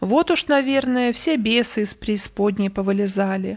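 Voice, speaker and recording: On a very clean recording with a silent background, a put-on character voice speaks at a moderate pace. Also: woman, medium pitch for a woman. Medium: read story. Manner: gloomy, forced light laughter.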